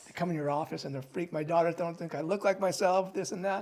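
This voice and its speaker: High-pitched male voice with an American accent, very fast and fairly even in intonation, over noticeable background noise. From California. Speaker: plastic surgeon. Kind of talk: podcast interview answer. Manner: calm, grounded.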